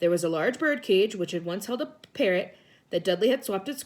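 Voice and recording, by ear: A natural voice reading aloud, intonation lively throughout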